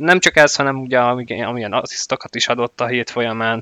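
With a bright, sharp tone and fairly even intonation, a man speaks in a dry, close sound with no echo over a quiet background. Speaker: hockey podcast host. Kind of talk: casual chat.

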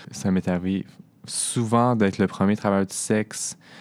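Here a man speaks with a fairly low pitch and ordinary pitch variation. The recording is very clean, with a silent background. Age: 20s. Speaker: sex worker. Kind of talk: personal testimony. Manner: halting.

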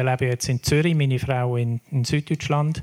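Speaking at a moderate pace with fairly even intonation, a man has an unremarkable speaking voice at a fairly high pitch, recorded with a dry, close sound and no echo. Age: 60s. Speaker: foundation board chair. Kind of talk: panel discussion.

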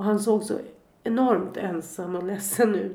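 A woman with vocal fry speaks at a medium pitch and a fairly slow pace. Her intonation is flat and monotone, with audible room echo. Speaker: bereaved mother. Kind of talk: testimony. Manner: reading aloud.

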